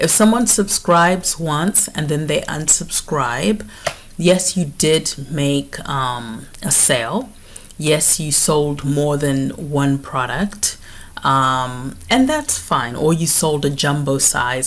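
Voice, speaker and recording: A woman speaks at a very slow pace with lively intonation and a very deep, low pitch. Noticeable background noise can be heard. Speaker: beauty business coach. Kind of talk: online masterclass tutorial. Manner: clear.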